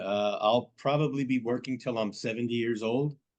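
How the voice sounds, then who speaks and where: A normal speaking voice in an American accent, at a moderate pace with fairly even intonation. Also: man. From New Jersey, Monmouth County. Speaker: congressional candidate. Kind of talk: political debate.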